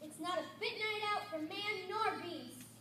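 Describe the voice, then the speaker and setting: A put-on, squeaky character voice at an extremely high pitch and moderate pace, with slight echo and clear background noise. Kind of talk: comic church skit. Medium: stage play. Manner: repetitive, gloomy.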